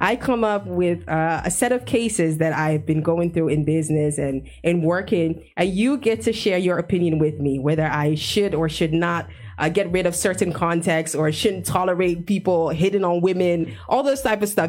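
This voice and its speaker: At a moderate pace and with hardly any pauses, a woman with a normal speaking voice talks at a fairly low pitch, her intonation lively and her loudness very even. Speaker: radio host. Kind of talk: radio interview. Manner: laughs often.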